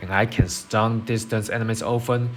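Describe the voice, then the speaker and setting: Music plays in the background as a man with a non-native accent talks at a moderate pace. His medium-pitched intonation is monotone and flat. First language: not English. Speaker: game guide creator. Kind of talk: game build tutorial.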